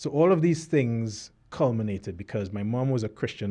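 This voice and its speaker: A man with a Trinidadian accent, a dark, mellow tone, fairly low pitch, ordinary pitch variation and a moderate pace. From Trinidad (Cascade, Port of Spain). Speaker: author. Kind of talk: interview testimony. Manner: halting.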